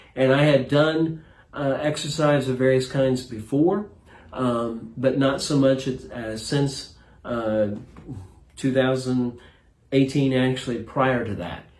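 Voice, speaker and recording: A man's medium-pitched voice at a very slow pace, with fairly even intonation and audible room echo. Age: 60s. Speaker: retired pastor, fitness program client. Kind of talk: interview.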